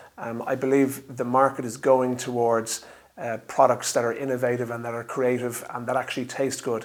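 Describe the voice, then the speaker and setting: A man with an Irish accent at a medium pitch, fairly quick and monotone, with flat intonation over noticeable background noise. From Ireland. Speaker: drinks company founder. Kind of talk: interview monologue. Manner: hesitant, many fillers.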